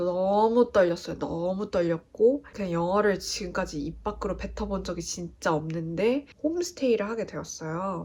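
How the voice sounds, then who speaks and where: A woman speaks at a medium pitch, varying it in an ordinary way, with noticeable background noise present. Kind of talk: casual talk to camera.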